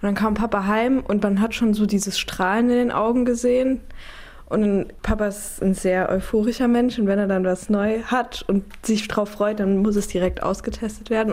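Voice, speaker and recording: This woman has an ordinary speaking voice. Her pitch sits in the medium range and her intonation stays fairly even. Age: 20s. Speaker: daughter of hearing-impaired man. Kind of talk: interview testimony.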